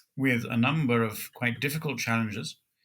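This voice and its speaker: A man's medium-pitched voice with a bright, sharp tone. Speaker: Orthodox priest, pastor. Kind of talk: interview, conversational storytelling. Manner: measured, formal with hesitations.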